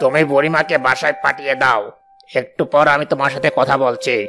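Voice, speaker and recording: A man does a cartoonish character voice, fairly high-pitched, with ordinary pitch variation. He talks at a moderate pace over faint background music. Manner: dismissive, evasive.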